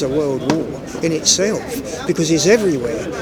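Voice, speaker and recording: Crowd noise and audible room echo surround a man whose fairly high voice carries lively intonation. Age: 70s. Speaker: Jehovah's Witness street preacher. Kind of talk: street discussion. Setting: outdoors on a street. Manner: talkative, repetitive, with false starts.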